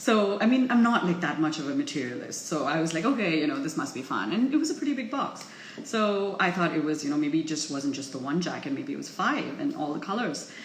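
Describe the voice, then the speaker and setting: Over noticeable background noise and audible room echo, a woman's medium-pitched voice swings very widely in pitch. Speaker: vlogger. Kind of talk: casual vlog chat. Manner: chipper and chirpy.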